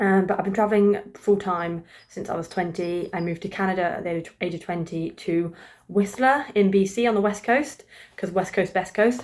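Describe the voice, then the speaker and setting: A woman with a British accent speaks with ordinary pitch variation. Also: medium pitch for a woman, moderate pace. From England, East Midlands (Grantham). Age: 20s. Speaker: vlogger. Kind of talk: casual chat. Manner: casual, hesitant with fillers.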